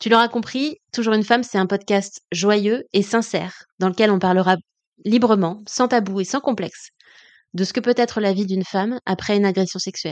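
In a dry, close sound with no echo and a quiet background, a woman talks at a moderate pace and medium pitch with fairly even intonation. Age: 30s. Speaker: podcast host and coach. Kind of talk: personal monologue.

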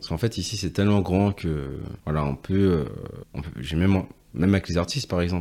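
Speaking with long, frequent pauses, a man uses a very deep, low pitch. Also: ordinary pitch variation, fairly quick pace. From Guadeloupe. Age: 20s. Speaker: hairdresser and entrepreneur. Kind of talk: casual interview. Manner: hesitant, frequent repetitions.

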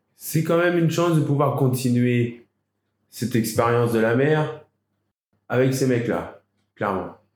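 A man's medium-pitched voice at a fairly slow pace, with long, frequent pauses, very even loudness and ordinary pitch variation. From France, Île d'Oléron (Charente-Maritime). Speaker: volunteer sea rescuer and diver. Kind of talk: interview. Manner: halting.

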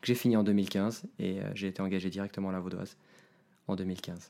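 This man speaks at a moderate pace in a fairly low voice. His intonation stays fairly even, and the recording is very clean with a silent background. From Switzerland, Geneva. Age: 30s. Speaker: IT team manager. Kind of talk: podcast interview.

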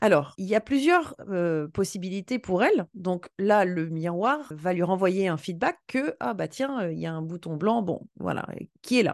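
Animated in tone, a woman talks at a fairly slow pace with medium pitch and lively intonation, the sound dry and close with no echo. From western France. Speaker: sales coach and trainer. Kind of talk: interview.

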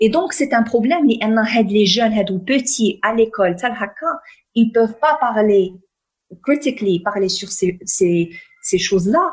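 This woman's voice sits fairly high, with lively intonation. She talks at a very slow pace and leaves long, frequent pauses. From northern Morocco. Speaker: peace and conflict resolution consultant. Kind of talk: interview.

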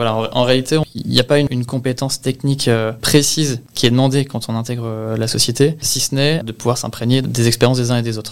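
At a fairly quick pace, a man talks at medium pitch in a flat, monotone way. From Normandy, Le Havre. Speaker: real estate asset management analyst. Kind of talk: interview testimony. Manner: hesitant, repeats words.

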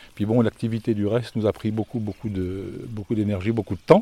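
A man speaks at a medium pitch with a dark, mellow tone. The sound is dry and close with no echo, on a very clean recording with a silent background. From France, Lyon. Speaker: gîte owner and therapist. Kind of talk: casual interview. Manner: halting.

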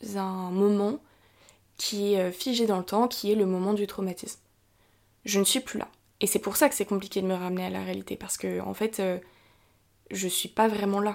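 Recorded very cleanly against a silent background, a woman at medium pitch talks at a moderate pace with fairly even intonation and long, frequent pauses. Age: 20s. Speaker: podcast host sharing mental health experience. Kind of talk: personal testimony and explanation. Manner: casual with frequent hesitations.

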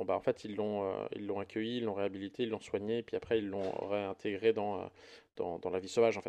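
A man speaks at a fairly quick pace in a fairly low, dark, mellow voice. His intonation is monotone and flat. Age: 40s. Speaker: podcast co-host, parent. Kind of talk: casual chat.

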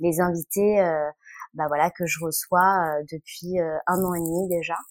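In a dry, close sound with no echo, a woman with a fairly low pitch speaks at a very slow pace with fairly even intonation. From France. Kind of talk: interview. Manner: halting, many filler words.

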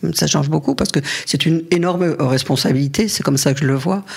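Very deep, low female voice, its pitch varying in an ordinary way. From France, Paris area. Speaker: feminist activist. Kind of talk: interview testimony. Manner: halting, with many repetitions.

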